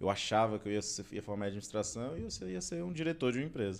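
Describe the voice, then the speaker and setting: This man's voice is fairly low. He speaks at a fairly quick pace. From Brasília, Brazil. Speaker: civil servant; podcast guest. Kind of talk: interview. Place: studio. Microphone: studio mic.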